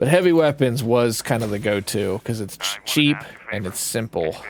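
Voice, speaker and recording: A man at medium pitch and moderate pace, lively intonation, with noticeable background noise. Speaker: gaming streamer. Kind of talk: gameplay commentary. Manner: casual, conversational.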